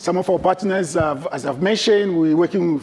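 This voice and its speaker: A man with a French accent speaks at a high pitch for a man, with noticeable background noise. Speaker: trade fair sales representative. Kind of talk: presentation.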